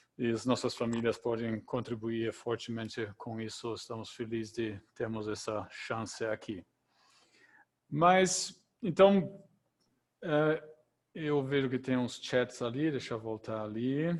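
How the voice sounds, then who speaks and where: A man speaks with a German accent in a medium pitch. His pace is very slow, with long, frequent pauses. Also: ordinary pitch variation. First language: German (speaking Portuguese). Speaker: event moderator. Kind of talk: moderating an online Q&A.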